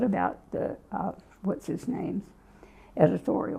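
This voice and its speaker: A woman is speaking. She has an American accent. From US South, Virginia. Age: 80s+. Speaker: writer and activist. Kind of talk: oral history interview.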